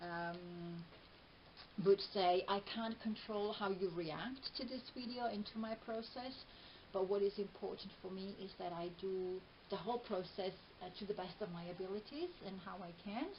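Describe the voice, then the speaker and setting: A woman with an Italian accent talks at a moderate pace. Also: medium pitch for a woman, ordinary pitch variation. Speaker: video blogger and therapist. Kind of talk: personal vlog. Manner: hesitant, many fillers.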